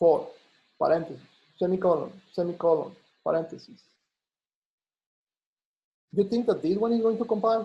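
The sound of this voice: A man with a high pitch and a slightly husky edge speaks at a moderate pace. His intonation is lively, with long, frequent pauses.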